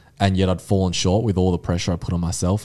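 With an Australian accent, a man talks at a fairly quick pace in a very deep, low pitch. His tone is dark and mellow, on a very clean recording with a silent background. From Australia, Mornington Peninsula (Victoria). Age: 20s. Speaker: mental resilience advocate. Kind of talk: podcast interview. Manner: casual.

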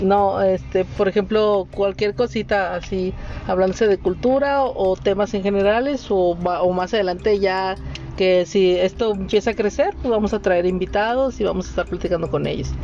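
A woman at medium pitch and a moderate pace, fairly even intonation, noticeable background noise behind her. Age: 20s. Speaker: podcast co-host, physical education teacher. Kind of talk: casual chat.

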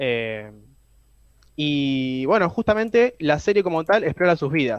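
A man is speaking here. His pitch swings very widely from high to low. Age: young. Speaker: film and series columnist. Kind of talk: radio column.

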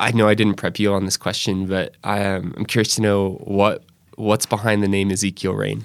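With an American accent, a man speaks at a moderate pace in a fairly low, monotone, flat voice. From US, northwest Arkansas. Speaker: podcast host at anti-trafficking nonprofit. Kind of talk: interview; scripted intro. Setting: studio office.

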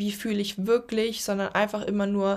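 In a monotone, flat delivery, a woman speaks at a moderate pace and a medium pitch. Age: 20s. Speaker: podcast host, social media creator and coach. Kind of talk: solo podcast monologue. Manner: casual, filler-heavy.

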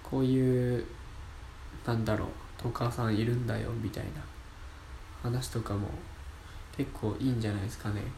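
A man talks in a flat monotone, leaving long, frequent pauses. Noticeable background noise and audible room echo surround him. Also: medium pitch for a man, moderate pace. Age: 20s. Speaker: amateur radio app podcaster, university student. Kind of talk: solo casual talk. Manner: casual, chatty.

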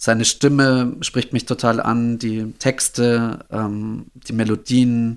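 A man speaks at a medium pitch with monotone, flat intonation. The recording is very clean, with a silent background. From Upper Bavaria, Germany. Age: 30s. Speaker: jazz drummer. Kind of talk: casual chat.

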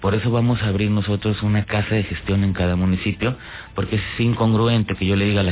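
Over noticeable background noise, a man talks at a very fast pace. His pitch is fairly low and his intonation fairly even. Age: 40s. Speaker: political candidate. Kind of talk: radio interview. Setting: radio studio.

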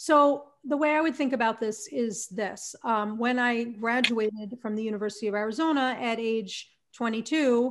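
A woman with an American accent uses an ordinary speaking voice, fairly high in pitch with ordinary pitch variation, against a quiet background. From US Northeast (New Jersey). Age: 40s. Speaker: career consultant and professional speaker. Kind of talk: interview.

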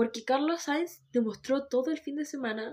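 A woman in a Chilean accent, with lively intonation and a moderate pace. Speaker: Formula 1 podcast co-host. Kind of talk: casual chat. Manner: quiet.

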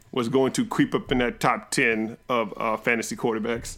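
An ordinary speaking voice from a man, medium in pitch, at a fairly slow pace on a very clean recording with a silent background. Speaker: podcast host. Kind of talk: casual banter about fantasy football.

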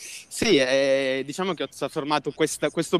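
This man's fairly high voice shows ordinary pitch variation in a dry, close recording with no echo. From southern Italy, Basilicata. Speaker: filmmaker and photographer. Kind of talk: interview. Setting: outdoors, walking in a park.

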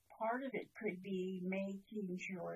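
A woman's medium-pitched voice, somewhat breathy. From British Columbia, Canada. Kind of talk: elder life story, reflective storytelling with personal anecdotes and advice. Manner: calm, unhurried, warm storyteller.

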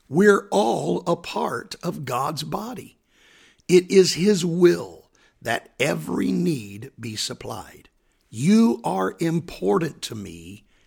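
A man speaks very slowly at a medium pitch, with vocal fry. His pitch swings very widely and his loudness rises and falls sharply. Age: 60s. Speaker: pastor. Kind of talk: devotional podcast answering a Bible question.

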